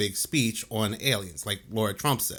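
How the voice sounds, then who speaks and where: Over a silent background on a very clean recording, a man with a New Jersey accent speaks fairly quickly at a medium pitch. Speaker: conspiracy commentary youtuber. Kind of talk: video commentary.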